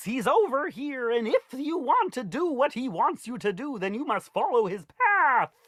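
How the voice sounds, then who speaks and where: This is a put-on character voice with a high pitch and a theatrical tone. It moves at a moderate pace with hardly any pauses. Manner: quirky, theatrical.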